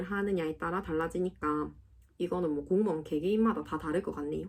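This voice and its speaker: A woman with a Gyeongsang accent, fairly low pitch, ordinary pitch variation and a moderate pace. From South Gyeongsang, Korea. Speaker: civil servant. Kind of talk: casual Q&A talk to camera.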